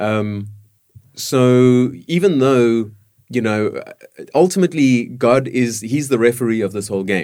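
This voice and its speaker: Pitched at a medium level, a man speaks in a dark, mellow tone with ordinary pitch variation. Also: fairly slow pace. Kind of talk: casual panel discussion.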